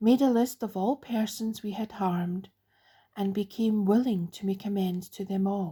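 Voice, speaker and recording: A woman with a Scottish accent speaks at a fairly slow pace, her tone dark, mellow and somewhat breathy. Her intonation is fairly even, and the recording is very clean with a silent background. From Scotland. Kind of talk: recovery literature reading.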